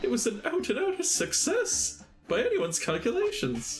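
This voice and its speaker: Over clear background music, a man uses a put-on character voice at a moderate pace. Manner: pompous, indignant.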